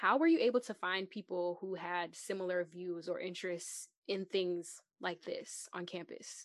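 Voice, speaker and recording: This woman has an ordinary speaking voice, pitched in the medium range, with ordinary pitch variation. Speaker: student podcast host. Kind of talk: casual interview.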